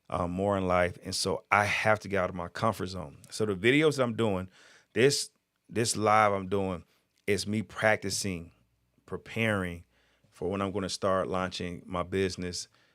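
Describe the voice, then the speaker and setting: A man speaks in a very deep, low voice with fairly even intonation. The recording is very clean, with a silent background. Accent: American. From Georgia, US South. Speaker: motivational speaker. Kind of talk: live stream monologue. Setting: live video stream. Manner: slurs words at times.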